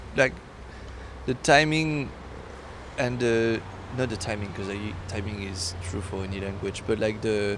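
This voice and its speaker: Speaking with a French accent at a fairly slow pace, this voice uses ordinary pitch variation and long, frequent pauses. Audible room echo and noticeable background noise are present. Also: man, fairly low pitch for a man. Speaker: podcast co-host. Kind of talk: casual chat. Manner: halting.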